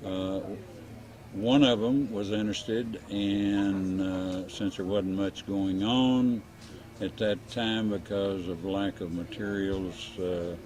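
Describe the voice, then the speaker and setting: A man with a Texan accent and a fairly low pitch speaks at a very slow pace with fairly even intonation. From Texas. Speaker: real estate developer, war veteran. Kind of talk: oral history interview. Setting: winery cafe. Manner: halting, many fillers.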